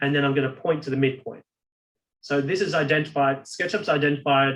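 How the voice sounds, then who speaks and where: A somewhat breathy man's voice with a fairly high pitch, a fairly quick pace, and ordinary pitch variation. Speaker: software instructor. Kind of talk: webinar tutorial.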